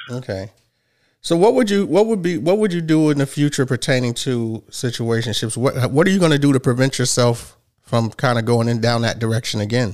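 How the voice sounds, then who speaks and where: Here a man with a plain, everyday voice speaks at a fairly quick pace. His medium-pitched delivery has lively intonation. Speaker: podcast host. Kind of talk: hosted podcast discussion with call-in guests.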